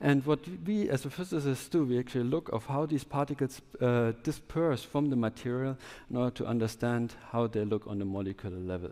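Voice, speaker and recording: A man with a German accent at a medium pitch, a dark, mellow tone, lively intonation, and a fairly quick pace. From southwest Germany. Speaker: startup founder and scientist. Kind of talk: conference talk. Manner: halting.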